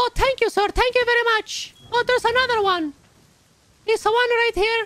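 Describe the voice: A man puts on a character voice with an Italian accent. His pitch is extremely high, and his pace is moderate. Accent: imitated Italian.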